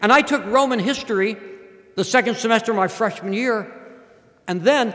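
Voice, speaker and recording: A man with a high pitch talks at a fairly quick pace. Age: 60s. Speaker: professor. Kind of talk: speech.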